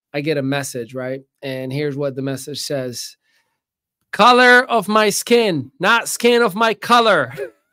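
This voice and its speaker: In a very clean recording with a silent background, a man with a fairly high, bright and sharp voice speaks at a fairly slow pace with very wide pitch swings. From Northwest Africa. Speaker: podcast host. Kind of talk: casual interview. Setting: studio.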